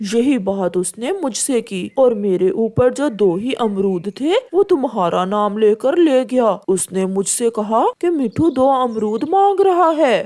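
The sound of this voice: Hardly pausing, a female-sounding cartoonish character voice runs at a moderate pace and a fairly high pitch.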